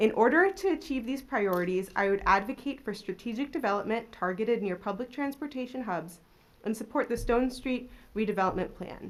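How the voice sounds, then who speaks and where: Here a woman talks at a fairly quick pace with a fairly high pitch and lively intonation. It is a plain, everyday voice. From Maryland, US. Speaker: council seat candidate, research economist. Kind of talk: prepared opening statement at public interview. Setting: city hall public panel.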